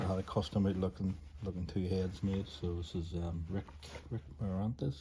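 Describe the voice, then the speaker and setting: A somewhat breathy man with a Scottish accent, very deep and low in pitch, relaxed in tone, with ordinary pitch variation. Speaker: ceramic artist. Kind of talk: casual chat. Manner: trouble pronouncing some words; meandering, relaxed.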